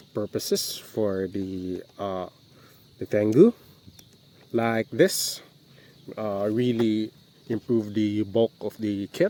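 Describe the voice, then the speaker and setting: With a Visayan accent, the speaker talks at a very slow pace with long, frequent pauses and fairly even intonation. The sound is dry and close, with no echo. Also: man, fairly low pitch for a man. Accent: Bisaya (Filipino). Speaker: model kit reviewer. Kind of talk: casual review talk to camera. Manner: hesitant, many fillers.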